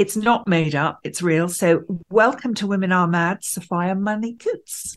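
A woman speaks with a normal speaking voice. Her pace is fairly slow and her intonation lively. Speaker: co-host.

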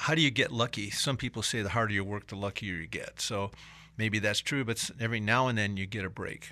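On a very clean recording with a silent background, a man speaks at a fairly quick pace in a bright, sharp tone. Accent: American. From Michigan (Detroit area). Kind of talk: interview. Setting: studio.

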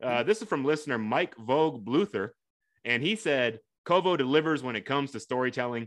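Against a quiet background, a plain, everyday voice moves at a fairly quick pace with lively intonation. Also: man, medium pitch for a man. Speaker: podcast host. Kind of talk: podcast interview.

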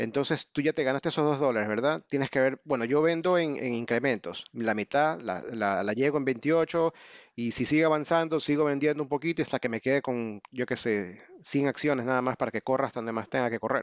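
Hardly pausing, a man with an ordinary speaking voice keeps a fairly quick pace at a medium pitch with ordinary pitch variation. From Ecuador. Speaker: options trader, army veteran. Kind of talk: interview.

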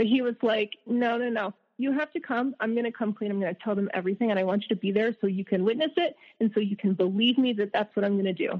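A woman speaks at a very fast pace with an American accent. Her pitch is fairly high, with ordinary pitch variation. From US South. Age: 30s. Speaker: abuse survivor. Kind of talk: testimony.

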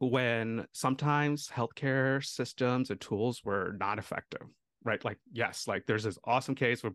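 Recorded with a dry, close sound and no echo, an ordinary speaking voice with an American accent keeps a moderate pace and ordinary pitch variation. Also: man. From India, then US from about age 8. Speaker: family physician. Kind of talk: interview.

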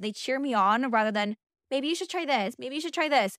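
Loud and animated, a woman speaks at a high pitch with an American accent. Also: very clean recording, silent background. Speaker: podcast host. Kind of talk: casual solo monologue.

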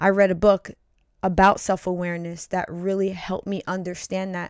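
A woman talks at a moderate pace and medium pitch in a normal speaking voice, recorded very cleanly with a silent background and a dry, close sound with no echo. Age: 40s. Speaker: podcast co-host. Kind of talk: casual chat.

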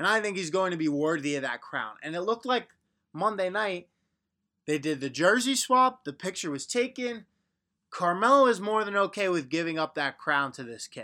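Using a raised, projected voice, a man with an American accent speaks at a moderate pace in a high, bright, sharp tone with very wide pitch swings. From Long Island, New York. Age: 20s. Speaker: sports podcast host. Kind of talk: solo sports commentary podcast. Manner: casual, conversational.

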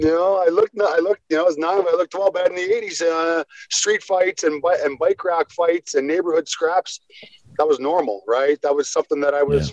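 A man with a western Canadian accent talks at a fairly quick pace with a high pitch. His loudness stays very even, in a dry, close sound with no echo. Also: ordinary pitch variation. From western Canada, Squamish BC. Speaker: former hockey enforcer. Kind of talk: casual interview chat.

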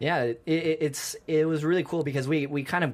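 A man with an American accent at a moderate pace, on a very clean recording against a silent background. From United States. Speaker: dancer and martial artist. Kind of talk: interview. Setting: studio. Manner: halting, many fillers and repeated words.

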